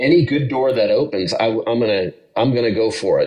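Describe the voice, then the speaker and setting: With an American accent and an unremarkable speaking voice, a man talks at a fairly slow pace with lively intonation. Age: 50s. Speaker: retired sheriff's deputy turned cargo pilot. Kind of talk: podcast interview. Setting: hotel room, remote call.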